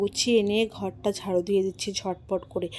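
A woman speaks with a dark, mellow tone. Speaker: lifestyle vlogger. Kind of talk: vlog narration. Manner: casual, chatty.

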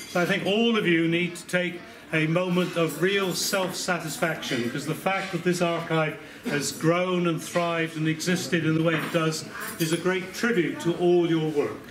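Noticeable background noise sits under a man who speaks at a moderate pace in a high voice with fairly even intonation. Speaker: guest. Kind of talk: after-dinner speech. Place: hall. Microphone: camera far.

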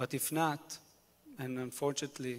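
A man speaks in an Israeli accent. His pitch is medium and his pace moderate. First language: Hebrew. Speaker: musician and former army officer; guest. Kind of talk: panel discussion. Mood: earnest, hopeful. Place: church. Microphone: handheld.

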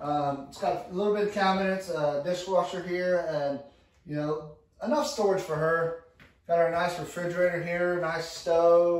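In a room with audible echo, a man speaks at a moderate pace, his pitch fairly high and his intonation fairly even.

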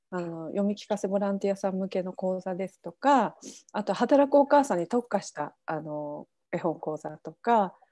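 A woman speaks at a moderate pace with a dark, mellow tone. Her pitch sits in the middle of her range, with ordinary variation.

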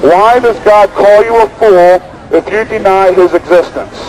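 A man talks fairly slowly, his pitch varying in an ordinary way, with noticeable background noise around him. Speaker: street preacher. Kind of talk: open-air street preaching. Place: street.

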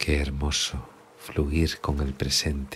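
Very deep, low, monotone and flat speech from a man at a very slow pace. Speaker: meditation guide. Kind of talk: guided sleep meditation. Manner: soft-spoken, slow.

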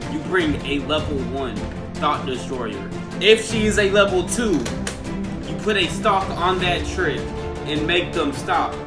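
A man talks fairly slowly while clear music plays in the background. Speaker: youtuber. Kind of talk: casual vlog chat. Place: home room. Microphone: phone near.

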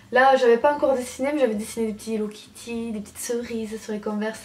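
Speaking very fast, the woman has a fairly high pitch. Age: 20s. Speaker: beauty YouTuber. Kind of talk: casual vlog. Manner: animated. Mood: cheerful, nostalgic. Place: home room. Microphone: camera far.

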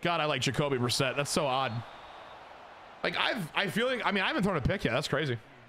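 Speaking at a very fast pace with long, frequent pauses, a man with an American accent uses a fairly high pitch, lively intonation and an animated tone over light background noise. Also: very even loudness. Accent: Southern, he denies it. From Texas. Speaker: video game streamer. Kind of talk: casual live-stream gaming commentary. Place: home room. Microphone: headset.

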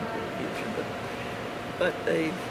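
A woman with an American accent over loud background noise. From United States. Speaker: dance teacher and arts administrator. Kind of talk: casual conversation. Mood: warm, reflective. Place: cafe.

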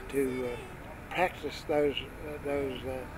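Noticeable background noise sits behind a man who talks fairly slowly. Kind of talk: interview answer.

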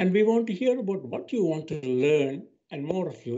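A man speaking at a moderate pace over a quiet background. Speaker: university professor. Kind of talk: webinar introduction. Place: home room. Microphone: webcam.

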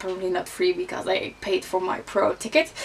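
A woman speaks with a Dutch accent at a fairly slow pace. Light background noise sits behind her. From Netherlands. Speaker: beauty vlogger. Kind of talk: casual vlog talk. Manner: hesitant, many fillers. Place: home room.

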